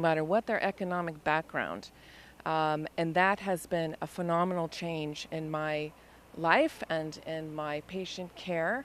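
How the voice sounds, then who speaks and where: At a fairly slow pace, a woman with an American accent speaks in an unremarkable speaking voice at a fairly low pitch. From US. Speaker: nurse. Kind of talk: street interview.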